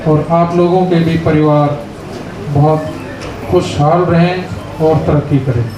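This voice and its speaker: A man speaks at a fairly high pitch with fairly even intonation, leaving long, frequent pauses. Audible room echo surrounds the voice. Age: 80s+. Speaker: army veteran. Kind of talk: speech at reunion event.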